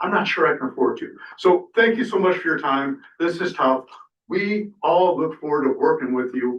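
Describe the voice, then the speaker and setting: A man talking at a fairly quick pace. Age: 60s. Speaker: fish biologist speaking at public comment. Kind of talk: public comment at city council meeting. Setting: city council chamber. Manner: animated.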